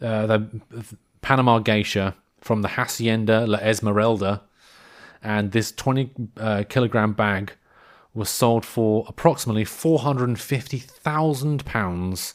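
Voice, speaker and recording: The pace is fairly slow, with a British accent and ordinary pitch variation. It is a very clean recording with a silent background. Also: man, medium pitch for a man. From United Kingdom. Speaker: podcast host. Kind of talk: casual comedic podcast monologue. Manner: rambling, hesitant.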